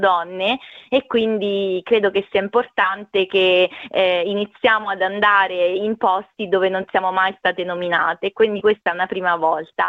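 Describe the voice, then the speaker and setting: At a moderate pace, a woman talks in a flat monotone at a medium pitch. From Italy, Marche (Ascoli Piceno province). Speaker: diplomat. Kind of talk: radio interview. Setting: phone call.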